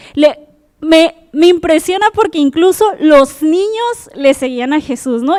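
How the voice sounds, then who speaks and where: A woman's animated tone and lively intonation come through in a dry, close sound with no echo. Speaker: preacher. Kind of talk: sermon.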